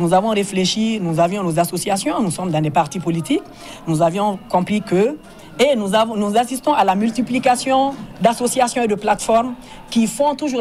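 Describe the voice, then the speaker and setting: Light background noise sits under the recording. A woman speaks at a moderate pace. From Mali. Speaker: association leader. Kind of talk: interview statement. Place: hall. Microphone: handheld.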